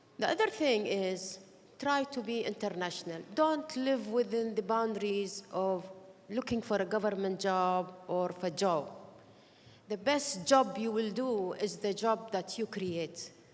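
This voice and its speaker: A woman speaks in an unremarkable speaking voice, at a fairly slow pace, with medium pitch and ordinary pitch variation. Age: 60s. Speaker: tech leader. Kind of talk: award panel remarks.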